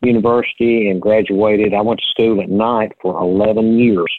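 A man with a Middle Tennessee accent is speaking. He talks at a fairly quick pace and medium pitch. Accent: US Southern (Middle Tennessee). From Tennessee, Sumner County (Portland area). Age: 50s. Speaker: banker and county commissioner. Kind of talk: casual interview.

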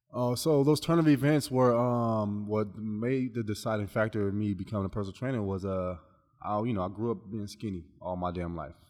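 Spoken with an American accent, an ordinary speaking voice keeps a moderate pace and ordinary pitch variation. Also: man. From Long Beach, California. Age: 30s. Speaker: personal trainer. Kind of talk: casual chat.

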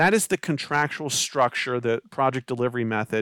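With an American accent, a man speaks in an unremarkable speaking voice at medium pitch and a moderate pace, with ordinary pitch variation, on a very clean recording with a silent background and a dry, close sound with no echo. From Maryland, Baltimore County. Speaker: construction attorney. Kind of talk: interview.

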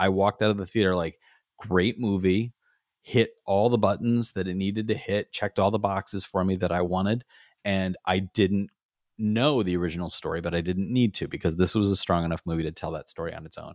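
A man with a normal speaking voice, fairly low in pitch, at a fairly quick pace with fairly even intonation, in a dry, close sound with no echo and a very clean recording with a silent background. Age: 50s. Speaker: podcast co-host. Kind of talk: casual chat.

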